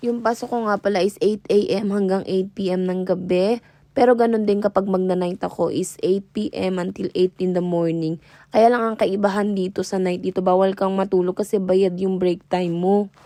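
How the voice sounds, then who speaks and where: In a very clean recording with a silent background, a woman speaks at a moderate pace and medium pitch, with monotone, flat intonation and a dark, mellow tone. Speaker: vlogger, care worker. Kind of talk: vlog voice-over narration. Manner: varying tone across recording; casual, chatty.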